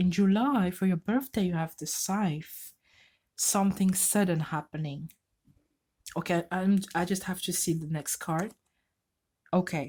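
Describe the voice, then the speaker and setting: A woman with a non-native accent speaks at a fairly slow pace, her medium-pitched voice somewhat breathy with ordinary pitch variation. The recording is very clean with a silent background. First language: not English. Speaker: tarot reader. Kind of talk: tarot reading. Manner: halting.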